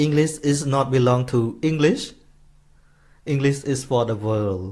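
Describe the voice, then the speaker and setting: A man's medium-pitched voice with a Khmer accent. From Cambodia. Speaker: Buddhist monk teacher. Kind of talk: dharma talk. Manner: halting.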